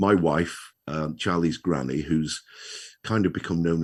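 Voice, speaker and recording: On a very clean recording with a silent background, a man with a very deep, low pitch and vocal fry talks at a moderate pace with fairly even intonation. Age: 60s. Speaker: children's author, retired wheelchair user. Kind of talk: interview.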